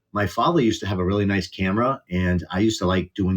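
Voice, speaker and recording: In a strong Boston accent, a man talks very fast with a very deep, low pitch. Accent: Boston accent, still strong. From Boston area, US. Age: 40s. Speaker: content creator. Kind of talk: casual interview. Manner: casual, hesitant.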